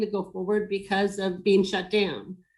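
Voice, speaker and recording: A woman with an American accent talks at a moderate pace in an ordinary speaking voice, her pitch fairly high. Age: 60s. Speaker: business owner in design and hospitality. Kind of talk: webinar panel discussion.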